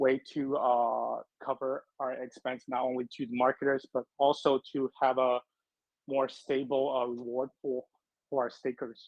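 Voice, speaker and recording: With a non-native accent, a man talks at a fairly slow pace in a medium pitch and a monotone, flat intonation. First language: not English. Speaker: crypto project representative. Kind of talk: AMA interview answers. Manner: halting, many fillers.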